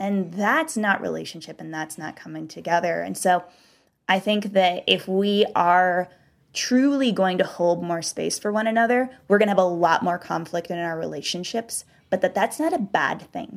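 In an ordinary speaking voice with an American accent, a woman talks at a moderate pace and medium pitch with ordinary pitch variation and big swings in loudness, on a very clean recording with a silent background. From US South. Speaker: author. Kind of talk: interview conversation. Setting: studio.

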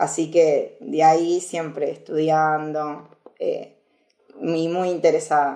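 A woman with a very deep, low voice and a dark, mellow tone speaks very slowly in a monotone, flat intonation. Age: 20s. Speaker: security researcher. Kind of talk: casual interview.

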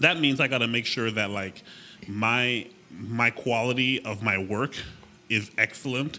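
This man has a plain, everyday voice at a medium pitch and speaks at a fairly slow pace. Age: 30s. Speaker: agency owner and web designer. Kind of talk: casual interview chat.

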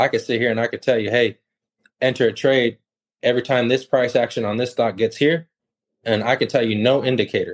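Fairly quick, medium-pitched speech from a man with an American accent and fairly even intonation. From California, then Texas from age 12. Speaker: contractor and stock trader. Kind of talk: casual interview chat.

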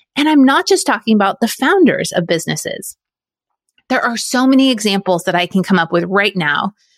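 Speaking at a fairly quick pace, a woman with an unremarkable speaking voice and medium pitch uses lively intonation, and the sound is dry and close with no echo. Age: 40s. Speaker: podcast host. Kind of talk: solo monologue podcast.

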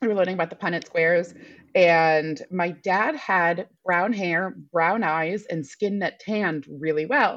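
A woman with an unremarkable speaking voice, pitched fairly low, with ordinary pitch variation. The background is quiet. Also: fairly slow pace. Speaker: donor-conceived artist and entertainer. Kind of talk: interview.

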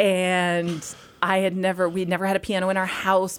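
This woman speaks with an American accent. Her pitch is medium. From Massachusetts. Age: 40s. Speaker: obstetrician. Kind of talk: casual chat.

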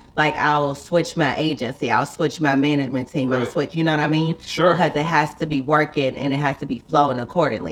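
A woman with an American accent and a very deep, low pitch races along very fast with hardly any pauses, against noticeable background noise. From US South, Charlotte, North Carolina. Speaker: YouTuber and TV actress. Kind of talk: casual chat. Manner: animated.

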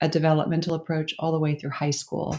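The speaker, with an American accent, is on a very clean recording with a silent background. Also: woman. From Oklahoma. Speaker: school co-founder, educator. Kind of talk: interview.

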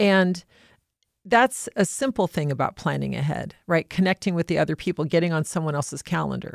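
A woman with a plain, everyday voice, fairly low pitch and ordinary pitch variation, at a fairly quick pace, in a very clean recording with a silent background and a dry, close sound with no echo. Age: 50s. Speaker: private trustee and executor. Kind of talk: casual chat.

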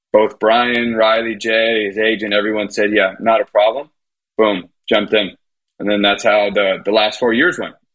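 A man with a fairly low pitch, a moderate pace, fairly even intonation and a normal speaking voice. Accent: American. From Miami, US. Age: 30s. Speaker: tennis coach. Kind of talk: casual chat.

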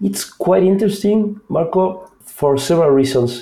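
In an Argentine accent, a man with a dark, mellow tone and a somewhat breathy voice speaks at a fairly slow pace with lively intonation. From Argentina. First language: Spanish. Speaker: product manager. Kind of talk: interview.

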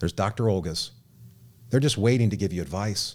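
Fairly quick in pace, a man talks in an unremarkable speaking voice. His pitch is fairly low, with ordinary pitch variation. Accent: American. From Southern California. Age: 30s. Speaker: radio host and memoir author. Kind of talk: radio talk show. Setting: studio.

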